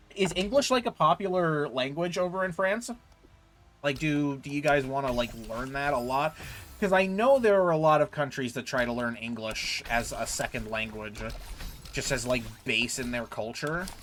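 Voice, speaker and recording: A fairly high-pitched man with an American accent at a moderate pace, his intonation lively, with music in the background. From United States. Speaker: gaming streamer. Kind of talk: casual chat while gaming, reading chat aloud. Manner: casual, filler-heavy with frequent repeats.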